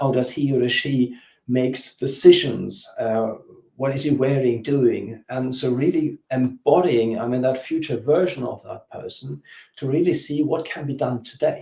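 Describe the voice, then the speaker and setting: A man with a German accent speaks at a fairly slow pace and medium pitch. His voice is somewhat breathy, with ordinary pitch variation. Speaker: business coach. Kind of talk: interview. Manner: halting.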